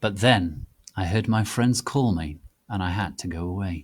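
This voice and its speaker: In a very clean recording with a silent background, a man with a very deep, low, somewhat breathy voice speaks at a fairly slow pace with ordinary pitch variation. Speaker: dramatic reader of fanfiction. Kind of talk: dramatic reading of a story.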